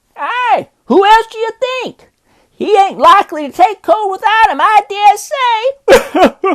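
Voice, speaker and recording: In a put-on character voice, a man speaks at a fairly slow pace in an extremely high pitch. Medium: solo performance. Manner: coarse, mocking.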